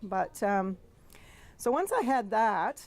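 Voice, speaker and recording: A woman with a Canadian accent and ordinary pitch variation. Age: 60s. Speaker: speaker telling her adoption story. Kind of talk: personal storytelling talk. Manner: hesitant, many fillers.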